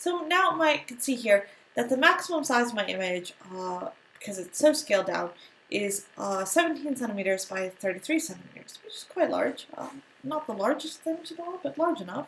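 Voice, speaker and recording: Over noticeable background noise, a woman with an American accent and a high pitch talks at a fairly quick pace, with very wide pitch swings and big swings in loudness. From United States. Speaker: art or design teacher. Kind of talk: tutorial. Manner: casual, with many fillers.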